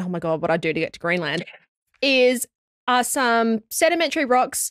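In an Australian accent, a woman talks at a fairly quick pace with very wide pitch swings, her dry sound with no echo set against a quiet background. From Australia (Sydney). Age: 20s. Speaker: geoscience podcast host. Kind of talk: casual chat. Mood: enthusiastic, wondering. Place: studio. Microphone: studio mic.

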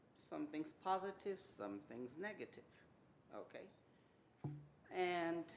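Her very deep, low voice carries vocal fry and lively intonation as a woman speaks amid audible room echo. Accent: American. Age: 60s. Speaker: public commenter at city council. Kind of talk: public comment. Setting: city council meeting.

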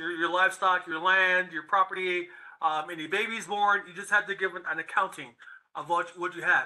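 Over a quiet background, a man uses a raised, projected voice with a bright, sharp tone and a monotone, flat delivery. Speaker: ministry session host. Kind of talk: teaching talk. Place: home room. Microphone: webcam.

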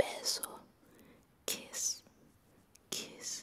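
Whispering comes from a woman. Her pace is very slow. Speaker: ASMR creator. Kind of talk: ASMR trigger words. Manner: whispered. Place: home room. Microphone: studio mic.

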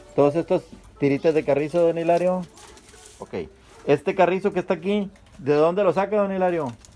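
Faint music plays in the background as a man with a high pitch and ordinary pitch variation speaks at a fairly quick pace, with long, frequent pauses. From northern Mexico, Sabinas area; northern Mexico. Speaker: YouTube vlogger. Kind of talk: casual field interview; vlog direct-to-camera address. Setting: outdoors outside a house. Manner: animated.

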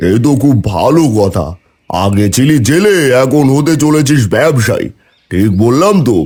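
A man's cartoonish character voice at medium pitch, with very wide pitch swings at a moderate pace. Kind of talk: cartoon dub acting. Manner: loud, familiar, patronizing.

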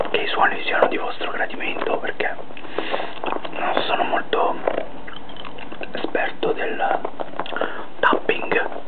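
Loud background noise fills the recording. A man talks at a very slow pace. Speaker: ASMR creator. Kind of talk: ASMR whisper video.

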